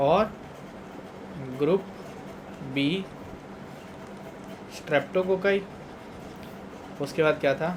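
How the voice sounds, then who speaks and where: A man speaks in a fairly high voice with ordinary pitch variation. Audible room echo and noticeable background noise fill the recording. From Punjab, India. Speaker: teacher. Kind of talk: lecture. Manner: conversational, repetitive check-ins.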